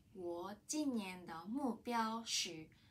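A woman with a Japanese accent, a somewhat breathy voice at medium pitch, lively intonation and a very slow pace. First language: Japanese (speaking Chinese). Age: 30s. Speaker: language student. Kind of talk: prepared testimony in learned language. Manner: halting. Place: office. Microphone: camera far.

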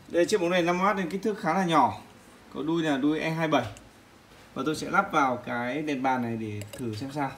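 Long, frequent pauses from a fairly high-pitched man with lively intonation at a moderate pace, over light background noise. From Vietnam. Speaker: product reviewer. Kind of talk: tutorial. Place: home room. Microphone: phone near.

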